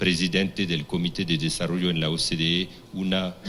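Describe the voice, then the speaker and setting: With a French accent, a man speaks at a moderate pace in a very deep, low pitch. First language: French (speaking Spanish). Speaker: forum moderator, diplomat. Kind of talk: panel moderation. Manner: halting, many restarts.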